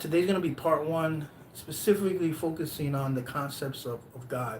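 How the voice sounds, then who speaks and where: A man speaks in an animated tone at a moderate pace, with ordinary pitch variation and audible room echo. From US Northeast, Brooklyn, New York. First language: Spanish. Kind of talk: live stream talk. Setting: live stream. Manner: animated, hesitant with fillers and restarts.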